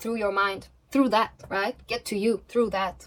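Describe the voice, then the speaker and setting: With a non-native accent, a woman speaks fairly quickly at a medium pitch, keeping her intonation fairly even. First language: not English. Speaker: tarot reader. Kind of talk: pick-a-card tarot reading. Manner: halting, self-correcting.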